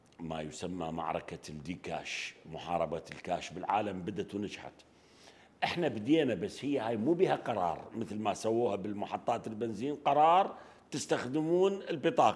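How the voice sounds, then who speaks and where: A man at a fairly low pitch talks at a moderate pace with very wide pitch swings. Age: 60s. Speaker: economist and banker. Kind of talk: interview. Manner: halting.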